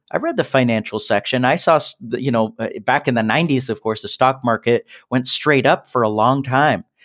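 A man's normal speaking voice at medium pitch, moderate pace and ordinary pitch variation, with a dry, close sound and no echo. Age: 30s. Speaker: entrepreneur and SEO business owner. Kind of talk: interview.

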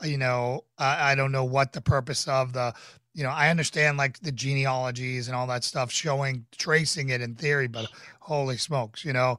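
A man with an American accent and an ordinary speaking voice, medium in pitch, with fairly even intonation at a moderate pace, on a very clean recording with a silent background. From US Northeast, Boston, Massachusetts. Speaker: podcast host and pastor. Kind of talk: casual chat.

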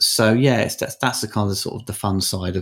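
A very fast man with a very deep, low pitch and a somewhat breathy quality, in a very clean recording with a silent background. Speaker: film critic and documentary filmmaker. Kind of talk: interview.

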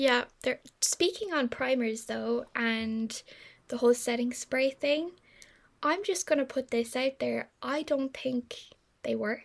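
In an Irish accent, a woman speaks very slowly in a high voice with ordinary pitch variation, on a very clean recording with a silent background. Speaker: podcast host, marketing agency. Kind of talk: casual chat.

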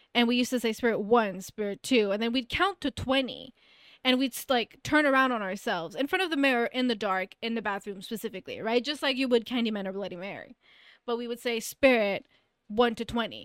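A woman's fairly high voice at a very fast pace, dry and close with no echo, in a very clean recording with a silent background. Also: ordinary pitch variation. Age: 30s. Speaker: podcast host. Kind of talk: casual chat.

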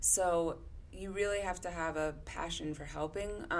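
A woman with an American accent speaks at a fairly slow pace in monotone, flat intonation. Audible room echo surrounds her voice. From Connecticut. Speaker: therapist. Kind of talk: casual chat.

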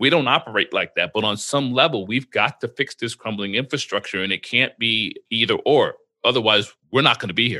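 A man with an American accent at medium pitch, fairly quick with hardly any pauses, ordinary pitch variation, a normal speaking voice. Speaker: podcast host. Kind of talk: casual interview. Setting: video call.

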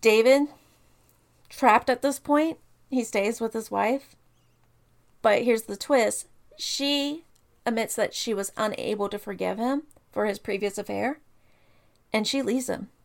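A woman's fairly high voice with ordinary pitch variation, at a fairly slow pace with long, frequent pauses. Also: very clean recording, silent background. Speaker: true crime podcast co-host. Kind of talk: storytelling case narration.

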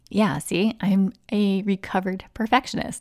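A woman with an ordinary speaking voice talks at a moderate pace and a medium pitch. The recording is very clean, with a silent background. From US, military family moving often. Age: 40s. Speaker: podcast host, life coach. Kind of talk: casual solo monologue. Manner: relaxed, laughs often.

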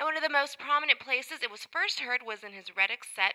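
A woman speaks in a high voice with an upbeat tone and very wide pitch swings, over noticeable background noise. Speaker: music radio show host. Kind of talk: music show presenting.

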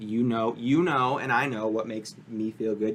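A man with an unremarkable speaking voice, medium pitch and moderate pace. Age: 30s. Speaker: podcast guest. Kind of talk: casual chat.

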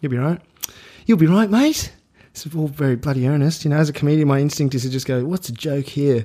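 In an Australian accent, a man talks at a very fast pace in a dark, mellow, fairly high voice with ordinary pitch variation. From Australia, Melbourne. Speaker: comedian. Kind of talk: casual chat.

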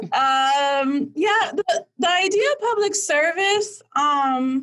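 A woman speaks with an American accent at an extremely high pitch. Her pitch swings very widely. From Miami, Florida (Dominican family). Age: 20s. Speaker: political fundraiser. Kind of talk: casual interview.

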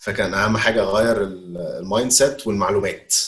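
The voice belongs to a man. It carries some breathiness. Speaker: learning and development manager. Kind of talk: interview.

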